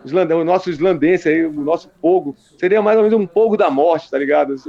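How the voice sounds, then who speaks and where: Noticeable background noise sits behind a man talking fairly quickly at a high pitch. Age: 50s. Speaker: metal band founder. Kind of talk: casual interview.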